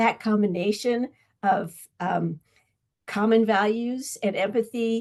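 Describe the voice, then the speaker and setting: A normal speaking voice with fairly even intonation is heard here. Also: woman. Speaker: webinar host and presenter. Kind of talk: online training presentation.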